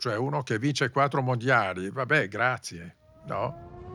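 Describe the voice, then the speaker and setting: Noticeable background noise sits behind a man speaking at a fairly slow pace. His medium pitch carries lively intonation. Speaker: motorsport journalist and podcast host. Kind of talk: casual chat about Formula 1.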